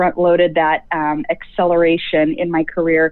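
A woman's fairly low voice with a US Midwestern accent, fairly even intonation and a moderate pace. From US Midwest, rural Nebraska. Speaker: healthcare leadership educator. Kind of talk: interview.

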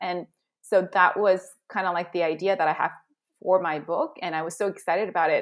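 With an American accent, a woman speaks fairly quickly at a medium pitch in an unremarkable speaking voice, her intonation fairly even. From Southern California, with childhood in Korea. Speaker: career and executive coach. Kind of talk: interview conversation.

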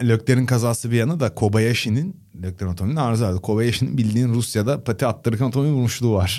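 A man talks at a very fast pace with hardly any pauses, his tone dark and mellow. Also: medium pitch for a man, ordinary pitch variation. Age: 30s. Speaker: Formula 1 podcast co-host and commentator. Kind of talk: casual chat.

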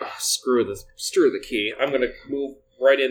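What you hear is plain reading aloud.

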